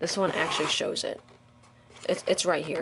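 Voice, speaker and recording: A woman's animated tone against noticeable background noise. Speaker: toy reviewer. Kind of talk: unboxing review.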